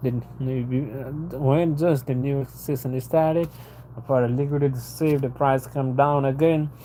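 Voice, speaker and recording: A man with a non-native accent speaks at a medium pitch. His intonation is monotone and flat. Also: fairly slow pace. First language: not English (English is fifth language). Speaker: retail trader. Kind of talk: livestream monologue. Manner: halting, with many repetitions.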